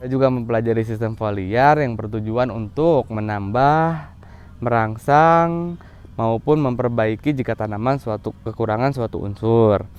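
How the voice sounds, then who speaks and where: A man talks at a medium pitch with ordinary pitch variation. His pace is fairly slow. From West Java, Bandung Regency. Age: 30s. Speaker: farmer. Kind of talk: self-presentation video for program application. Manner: formal.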